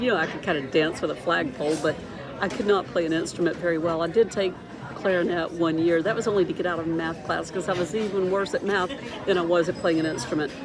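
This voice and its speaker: With music in the background and audible room echo, a woman talks at a very fast pace. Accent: American. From US South. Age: 60s. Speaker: vlogger. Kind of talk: casual chat. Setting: restaurant.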